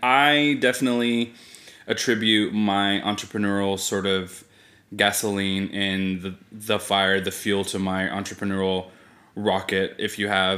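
A man with an American accent speaks fairly slowly, his pitch fairly low and his intonation fairly even. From California (Fresno). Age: 30s. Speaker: podcast co-host, entrepreneur. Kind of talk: casual chat.

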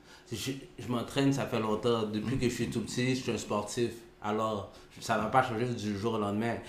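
At a moderate pace, a man with a medium pitch speaks amid noticeable background noise and audible room echo. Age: 40s. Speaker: podcast co-host. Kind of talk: casual debate.

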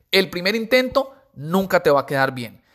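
The recording is very clean with a silent background. A man speaks at a moderate pace in an animated tone. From Colombia, Pacific coast (Buenaventura). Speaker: podcaster and insurance promoter. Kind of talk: motivational monologue. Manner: casual, animated.

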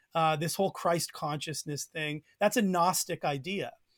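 A man with a Canadian accent at a fairly slow pace, dry and close with no echo, on a very clean recording with a silent background. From Canada. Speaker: Bible teacher. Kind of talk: podcast interview discussion.

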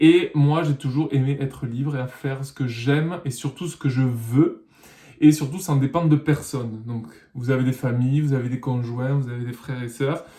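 Somewhat breathy, a man talks at a moderate pace in a dark, mellow tone. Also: medium pitch for a man, fairly even intonation. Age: 30s. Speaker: musician and vlogger. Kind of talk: personal vlog monologue.

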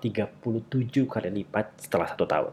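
A man talks in a medium pitch. His voice is somewhat breathy. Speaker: podcast host. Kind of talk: casual solo monologue on a self-help book.

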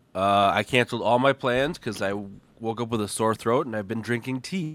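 On a very clean recording with a silent background, a man with an American accent has an unremarkable speaking voice, medium in pitch, with ordinary pitch variation and a moderate pace. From Minnesota, US. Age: 20s. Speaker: podcast guest. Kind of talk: casual chat.

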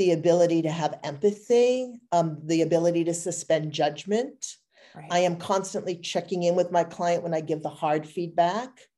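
At a moderate pace, a woman with fairly low pitch and a dark, mellow tone speaks with ordinary pitch variation. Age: 50s. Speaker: image consultant. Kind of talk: interview conversation.

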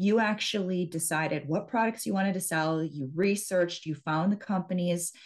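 A woman with a plain, everyday voice in an American accent, fairly low in pitch, with ordinary pitch variation at a moderate pace. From US Midwest, central Wisconsin. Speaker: hypnotherapist and business mindset coach. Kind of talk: interview.

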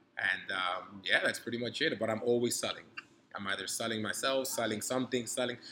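A man with a New York accent talks at a fairly quick pace. His pitch is medium and his intonation fairly even. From New York City (Harlem), born in Dominican Republic. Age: 30s. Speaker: grad student and entrepreneur. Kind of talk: casual interview. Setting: hotel cigar lounge.

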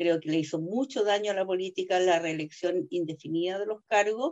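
In a plain, everyday voice, a woman talks with ordinary pitch variation at a moderate pace. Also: dry, close sound with no echo. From southern Chile, Osorno. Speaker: lawyer and constitutional convention delegate. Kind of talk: interview.

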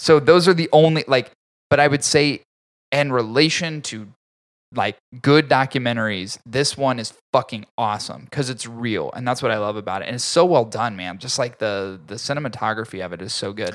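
A man talks in a normal speaking voice at a medium pitch and moderate pace, with lively intonation and big swings in loudness. The recording is very clean, with a silent background. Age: 30s. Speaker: podcast host, cigar reviewer. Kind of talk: casual chat. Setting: studio.

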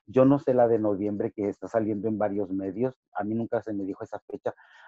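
Talking at a fairly quick pace, a man at medium pitch has a plain, everyday voice. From Ciudad Juárez / El Paso border, Chicano. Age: 50. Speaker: professional wrestler. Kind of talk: interview.

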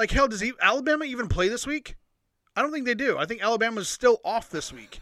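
Extremely high in pitch, a man's bright, sharp, raised and projected voice races at a very fast pace. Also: ordinary pitch variation. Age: 40s. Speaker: sports podcast co-host. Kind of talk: casual chat.

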